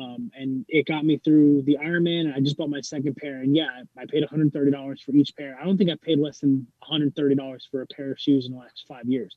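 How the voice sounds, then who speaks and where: Spoken at a moderate pace in an ordinary speaking voice, the delivery has fairly even intonation and big swings in loudness. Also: man, fairly high pitch for a man. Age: 30s. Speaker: fitness enthusiast and Navy veteran. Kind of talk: casual interview. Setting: video call.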